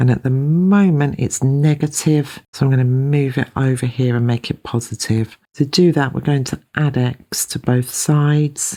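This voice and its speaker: With a British accent, a woman's very deep, low voice carries a dark, mellow tone, moving at a moderate pace with fairly even intonation and hardly any pauses. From UK. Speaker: maths teacher. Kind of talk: tutorial.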